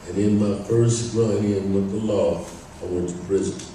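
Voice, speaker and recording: A man with an American accent speaks at a fairly low pitch, with audible room echo around him. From Northern California, Bay Area (Berkeley). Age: 60s. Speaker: speaker sharing recovery story, retired electrician. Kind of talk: testimony, prepared talk.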